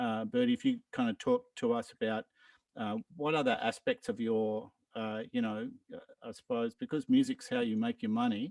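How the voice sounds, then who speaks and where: Recorded with a dry, close sound and no echo, a man with an Australian accent makes very wide pitch swings. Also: fairly high pitch for a man, moderate pace. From Australia, Brisbane. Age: 60s. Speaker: musician. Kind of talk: online meeting introduction. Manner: halting, many fillers.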